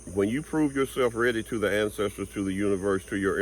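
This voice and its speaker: An ordinary speaking voice from a man, fairly low in pitch with ordinary pitch variation, at a fairly quick pace on a very clean recording with a silent background. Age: 60s. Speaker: spiritual vlogger and tarot reader. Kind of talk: motivational monologue. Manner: casual, conversational.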